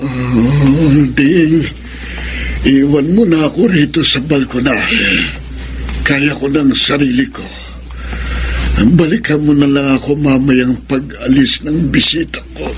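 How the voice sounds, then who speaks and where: In a put-on character voice, a man talks very slowly at a fairly high pitch. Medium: old radio play. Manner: slow, aged.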